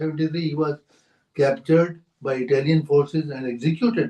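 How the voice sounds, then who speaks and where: The man has a dark, mellow tone at a fairly high pitch, speaking at a fairly quick pace with fairly even intonation. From India. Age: 80s+. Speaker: geriatrician. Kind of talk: interview answer.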